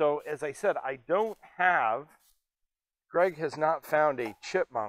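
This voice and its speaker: The dry, echo-free recording has a man speaking at a very slow pace with big swings in loudness. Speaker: air museum executive and video host. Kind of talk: casual educational video presentation. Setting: on camera at an air museum. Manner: animated, jokey. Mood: jovial, relaxed. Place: hall.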